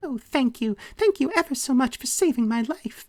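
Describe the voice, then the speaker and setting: In a put-on character voice, a female-sounding voice speaks high and squeaky at a moderate pace. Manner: grateful.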